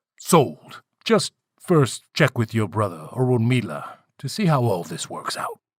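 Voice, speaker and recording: A man speaks at a moderate pace in a put-on character voice, his pitch sitting in the medium range. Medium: read story. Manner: terse, deadpan.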